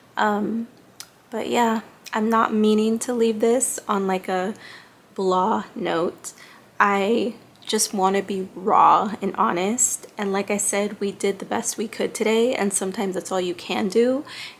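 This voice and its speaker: Quiet and fairly slow, a woman speaks at medium pitch with fairly even intonation. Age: 30s. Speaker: lifestyle vlogger. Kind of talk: casual vlog monologue. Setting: small apartment bedroom.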